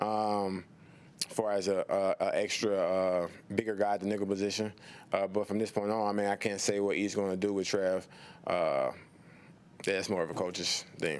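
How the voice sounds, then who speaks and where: A man with a Southern accent speaks at a moderate pace in a fairly low pitch, with monotone, flat intonation, very even loudness and long, frequent pauses. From US South. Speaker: pro football player. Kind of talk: press conference interview. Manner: halting, many fillers.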